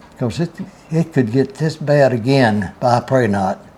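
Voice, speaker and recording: A man in a Southern US accent, with ordinary pitch variation and a moderate pace. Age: 90s. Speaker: grandfather telling Depression memories. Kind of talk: interview.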